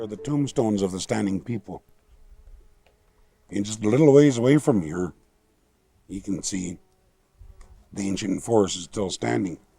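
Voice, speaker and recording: A man's fairly low voice with an American accent, at a moderate pace, with long, frequent pauses, lively intonation and big swings in loudness. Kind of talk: storytelling talk about nature and his ancestors. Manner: warm, ready laughter.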